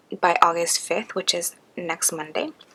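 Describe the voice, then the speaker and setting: A woman with a fairly low pitch speaks at a moderate pace over noticeable background noise. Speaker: budget planning vlogger. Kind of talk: tutorial. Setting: at home late at night. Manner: soft-spoken.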